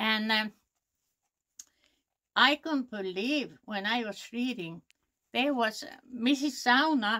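With a Finnish accent, a woman speaks at a very slow pace with ordinary pitch variation against a quiet background. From Finland. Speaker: knitter and weaver. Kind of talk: storytelling interview.

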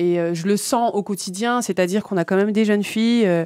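A woman's dark, mellow voice at a moderate pace, with fairly even intonation, a quiet background and a dry sound with no echo. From Île-de-France, Seine-Saint-Denis (Villepinte); Île-de-France. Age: young. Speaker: community association founder; guest. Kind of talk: radio interview. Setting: radio studio. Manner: hesitant, many fillers and repetitions. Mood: earnest, engaged. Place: studio. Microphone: studio mic.

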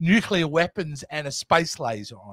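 The speaker has an Australian accent and a bright, sharp tone. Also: man, quiet background, dry sound with no echo. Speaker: movie review co-host. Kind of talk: casual chat. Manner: animated. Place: home room. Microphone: studio mic.

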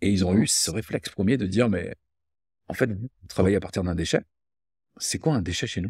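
A very deep-voiced, somewhat breathy man at a fairly quick pace, with long, frequent pauses, ordinary pitch variation, dry sound with no echo and a quiet background. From France, Loire (Rive-de-Gier, between Saint-Étienne and Lyon); France. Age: 50s. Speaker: entrepreneur; guest. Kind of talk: casual interview conversation. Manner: hesitant, repeated words. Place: home room.

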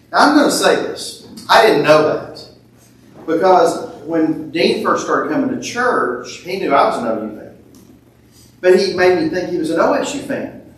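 At a moderate pace, a man's voice swings very widely in pitch and greatly in loudness, with audible room echo. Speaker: preacher at a funeral. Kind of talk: eulogy. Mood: warm, lightly humorous. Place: church.

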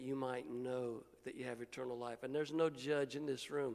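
Here a man speaks at a moderate pace with fairly even intonation. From Indiana, US Midwest. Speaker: guest preacher. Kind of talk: sermon. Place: church. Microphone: handheld.

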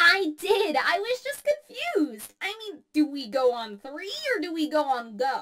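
This is a cartoonish character voice. The pitch is high. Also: moderate pace. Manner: upbeat, friendly.

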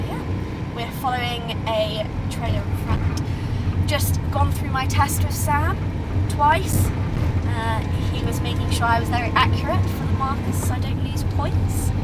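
A woman at a fairly slow pace with long, frequent pauses, amid loud background noise. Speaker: horse rider vlogger. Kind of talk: casual vlog chat. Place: car. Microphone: camera far.

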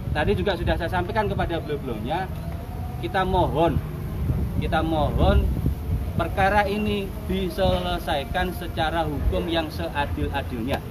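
Loud background noise fills the clip. A man speaks over it at a moderate pace. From East Java, Indonesia. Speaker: Banser commander. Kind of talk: press statement. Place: street. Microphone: camera far.

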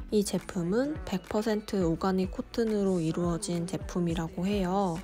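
Fairly slow female speech set against background music. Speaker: fashion haul vlogger. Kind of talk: product review narration.

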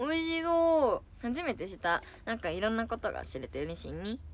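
A woman's animated tone in a dry sound with no echo. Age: 20s. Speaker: idol livestreamer. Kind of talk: casual chat. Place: home room. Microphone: phone near.

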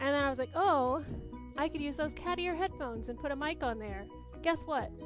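A woman talks at a fairly quick pace, with a dry sound with no echo and clear music playing in the background. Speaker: unboxing vlogger. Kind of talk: casual vlog chat. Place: home room. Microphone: headset.

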